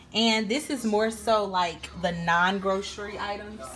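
A woman talks at medium pitch and a fairly slow pace, her intonation fairly even. Her tone is fairly bright, with faint background noise behind her.

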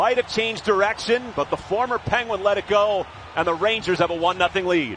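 Over noticeable background noise, a man with a high pitch talks at a fairly quick pace and very even loudness. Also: ordinary pitch variation. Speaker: hockey play-by-play announcer. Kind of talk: live sports commentary, play-by-play. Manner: fast, rhythmic, clipped play-by-play delivery.

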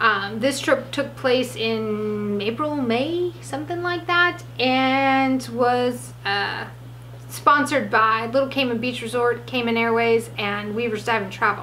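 A woman talks with light noise in the background. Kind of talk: casual vlog chat. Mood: cheerful, joking. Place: studio.

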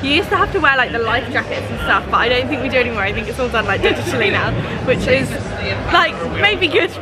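Loud music plays in the background. A woman speaks over it at a very fast pace. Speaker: travel vlogger. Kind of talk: casual vlog chat. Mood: excited, cheerful. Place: hall. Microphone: phone near.

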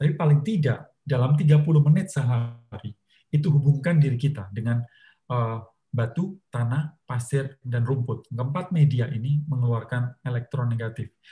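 A man's dark, mellow, somewhat breathy voice moves at a moderate pace with ordinary pitch variation over a quiet background. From Indonesia. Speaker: motivator and author; talk show guest. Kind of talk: talk show interview. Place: home room. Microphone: video call.

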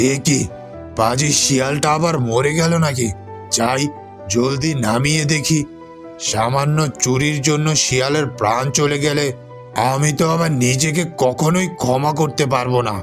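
Clear music plays behind a man doing a cartoonish character voice at a fairly high pitch and a fairly slow pace. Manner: gruff, angry.

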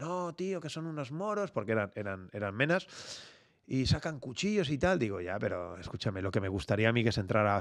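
An animated man speaks at a fairly quick pace with very wide pitch swings. The background is quiet. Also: hardly any pauses. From Barcelona, Spain; Spain. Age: 50s. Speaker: security company founder; podcast guest. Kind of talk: interview conversation; interview answer. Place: studio. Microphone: studio mic.

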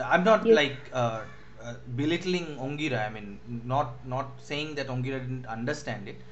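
Amid audible room echo and noticeable background noise, a man with a Bengali accent talks at a moderate pace and medium pitch, his intonation lively and his loudness swinging widely. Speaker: university English lecturer. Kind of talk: online lecture. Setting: online class. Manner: halting, many fillers.

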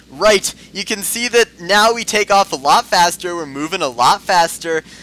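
A man talks at a moderate pace with big swings in loudness, the sound dry and close with no echo, over noticeable background noise. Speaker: gaming YouTuber. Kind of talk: gameplay commentary. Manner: put-on voice.

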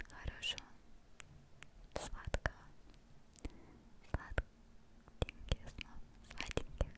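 A woman speaks at a very slow pace. Her speech has long, frequent pauses. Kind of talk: soft ASMR name whispering and bedtime wishes. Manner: tender soft whisper, wishing sweet dreams. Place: home room. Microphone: studio mic.

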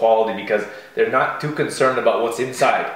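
There is audible room echo surrounding this man's voice. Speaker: show co-host. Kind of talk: casual talk show chat. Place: kitchen.

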